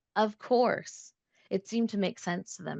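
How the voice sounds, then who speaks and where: In a dry, close sound with no echo, a woman with a Canadian accent speaks at a moderate pace. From Toronto, Canada. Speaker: professor. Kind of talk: reading aloud. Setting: video call.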